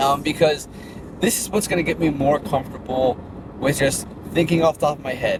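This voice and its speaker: A man with a fairly high pitch and ordinary pitch variation talks at a fairly quick pace with long, frequent pauses, over noticeable background noise. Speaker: fitness brand owner and vlogger. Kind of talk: casual vlog monologue. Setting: in a car. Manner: fast.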